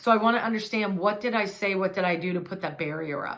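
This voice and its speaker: Audible room echo fills the space. The talking is fairly quick. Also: woman. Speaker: hairdresser and hair color educator. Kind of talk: tutorial. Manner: loud.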